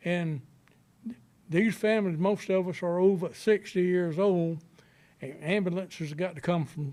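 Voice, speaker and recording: A man with a Southern US accent speaks in a high pitch with a dark, mellow tone. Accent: Southern US (Georgia). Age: 60s. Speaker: resident speaking at public meeting. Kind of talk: public comment. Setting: county planning board meeting.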